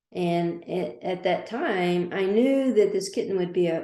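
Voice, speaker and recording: This woman has a dark, mellow tone at a fairly low pitch. She talks at a fairly slow pace with ordinary pitch variation. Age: 60s. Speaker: business owner. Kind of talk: casual podcast conversation.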